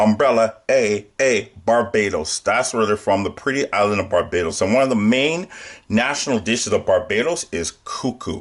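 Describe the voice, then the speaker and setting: This is a man with a normal speaking voice. His pitch is medium and his pace is moderate. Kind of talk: casual talk to camera.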